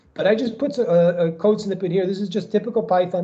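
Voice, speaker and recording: A man with an American accent, dark, mellow tone and very fast pace. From New York. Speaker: professor. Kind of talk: lecture.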